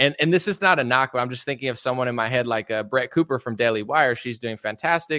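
Speaking very fast in an American accent, a man with a medium pitch and a bright, sharp tone is heard in a dry, close sound with no echo on a very clean recording with a silent background. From United States. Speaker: rapper and political commentator. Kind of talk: casual interview chat.

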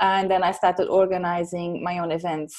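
With a Portuguese accent and a dark, mellow tone, this voice moves at a moderate pace over a quiet background. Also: woman. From Portugal. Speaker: science communicator. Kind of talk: interview.

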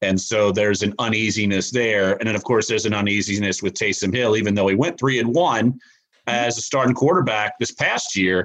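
At a fairly quick pace, a man speaks with a fairly low pitch, ordinary pitch variation and very even loudness. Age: 40s. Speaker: sports columnist. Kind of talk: casual interview. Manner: hesitant fillers.

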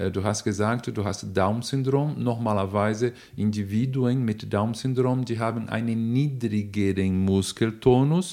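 A man with a Brazilian accent, medium pitch and a dark, mellow tone talks at a fairly slow pace with hardly any pauses and ordinary pitch variation, on a very clean recording with a silent background. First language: Portuguese (speaking German). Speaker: neuroanatomist and nutrition expert, professor. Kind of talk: interview answers, explanatory. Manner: hesitant with fillers.

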